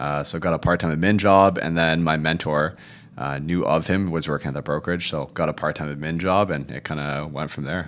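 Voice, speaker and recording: This man has a very deep, low pitch and speaks at a fairly quick pace with fairly even intonation. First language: Cantonese. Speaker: real estate agent. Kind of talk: podcast interview.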